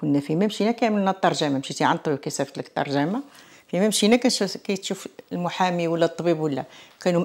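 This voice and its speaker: Over a quiet background, a woman with a fairly low voice talks at a fairly quick pace with lively intonation. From Morocco, Tangier; Morocco. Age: 60s. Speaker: author and immigrant; interviewee. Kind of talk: interview testimony. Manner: animated. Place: home room. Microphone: lapel.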